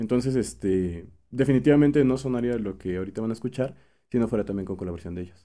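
A man with a Mexican accent talks at a very fast pace. His voice is medium-pitched with a dark, mellow tone and ordinary pitch variation. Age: 20s. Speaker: musician and songwriter. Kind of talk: casual interview.

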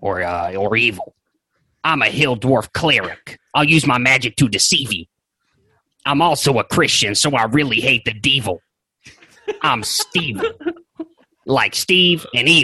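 A put-on character voice from a man, medium-pitched, at a fairly slow pace with long, frequent pauses. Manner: cocky, rhyming swagger.

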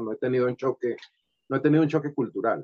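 Fairly high in pitch for a man, this is an ordinary speaking voice with fairly even intonation. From Venezuela, Valera (Trujillo state). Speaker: sculptor and comedian. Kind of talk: interview.

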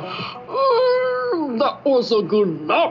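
A put-on character voice comes through over clear background noise.

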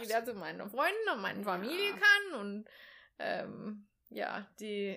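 A woman speaks at a moderate pace. Her loudness swings a lot. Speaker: podcast co-host. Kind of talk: casual chat.

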